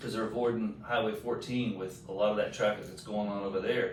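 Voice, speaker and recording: In a Southern US accent, the speaker holds a fairly even intonation amid audible room echo and noticeable background noise. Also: man. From Texas. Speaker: town mayor. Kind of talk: podcast interview. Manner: loud.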